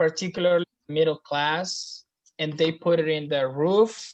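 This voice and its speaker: Against a quiet background, a woman with a Spanish accent speaks very slowly, her fairly low pitch holding a fairly even intonation. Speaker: student in a class project group. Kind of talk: casual group meeting discussion. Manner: halting, with many fillers.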